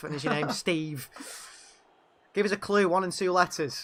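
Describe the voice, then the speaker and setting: A man with a high-pitched voice and ordinary pitch variation is heard over noticeable background noise. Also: moderate pace. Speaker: streamer playing a football game.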